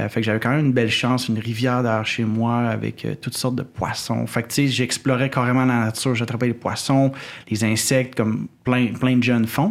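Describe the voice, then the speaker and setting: A man's medium-pitched voice, fairly quick in pace and monotone, with flat intonation. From Quebec City, Quebec. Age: 30s. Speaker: wildlife photographer. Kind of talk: casual interview conversation. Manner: halting, many repetitions and fillers.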